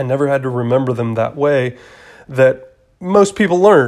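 A normal speaking voice in an American accent, at a moderate pace. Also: man. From Atlanta, Georgia, US South. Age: 30s. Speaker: real estate agent. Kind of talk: solo podcast monologue. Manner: casual, many filler words.

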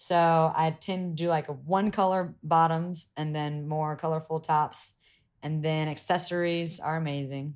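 The recording is very clean, with a silent background. A woman with a Southern US accent speaks at a fairly slow pace in a very deep, low pitch. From US South, Columbia, South Carolina. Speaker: yacht crew member and reality TV personality. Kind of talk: casual chat. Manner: animated.

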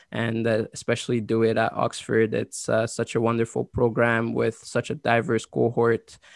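Hardly pausing, a man speaks in a monotone, flat intonation with a dry, close sound and no echo. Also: medium pitch for a man, moderate pace. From Côte d'Ivoire, then Ottawa, Canada. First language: French. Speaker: university graduate and scholarship winner. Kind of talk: interview.

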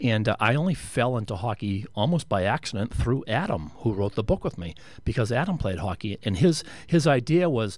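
On a very clean recording with a silent background, a man with an ordinary speaking voice talks at a moderate pace with medium pitch and lively intonation. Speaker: former hockey enforcer, guest. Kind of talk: casual interview chat.

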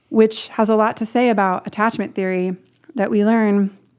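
With an American accent, a woman speaks in an unremarkable speaking voice at a moderate pace with fairly even intonation, in a very clean recording over a silent background. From Portland, Oregon. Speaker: author. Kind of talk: interview. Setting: in person.

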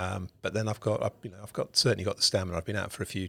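A man with a British accent is captured in a very clean recording with a silent background, the sound dry and close with no echo. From United Kingdom. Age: 50s. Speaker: ocean rower and adventurer. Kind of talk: podcast interview. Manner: halting, many fillers and repetitions.

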